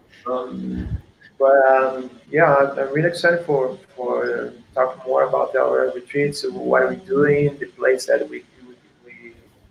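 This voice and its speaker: Speaking with a Portuguese accent at a fairly slow pace, a man makes big swings in loudness. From Portugal. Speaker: surf coach. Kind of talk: casual chat. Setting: video call. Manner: halting.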